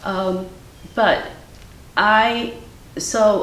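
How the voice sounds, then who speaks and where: A woman talks amid noticeable background noise, with room echo audible. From US Midwest, Cleveland, Ohio. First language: Ukrainian. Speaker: artist. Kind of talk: interview conversation. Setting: artist's studio.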